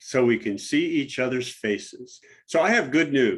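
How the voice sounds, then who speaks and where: This man has an ordinary speaking voice with an American accent, fairly high pitch, ordinary pitch variation and a moderate pace. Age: 60s. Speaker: diversity trainer. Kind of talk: presentation.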